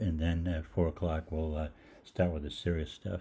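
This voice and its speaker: Here a man speaks with a very deep, low pitch. His tone is dark and mellow. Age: 60s. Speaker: holistic practitioner hosting live Q&A. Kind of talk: casual storytelling on livestream. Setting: live online show. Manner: halting, many fillers.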